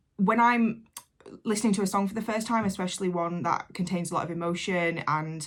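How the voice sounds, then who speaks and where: A woman with an English accent talks at a fairly quick pace, her pitch medium with ordinary variation. The recording is very clean, the background silent. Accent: broad English. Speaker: reaction youtuber. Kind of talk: reaction video commentary. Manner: casual, hesitant with fillers.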